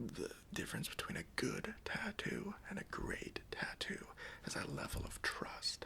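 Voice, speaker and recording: A man whispers at a fairly slow pace in a relaxed tone. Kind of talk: ASMR roleplay, personal attention. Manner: soft-spoken, friendly, relaxed.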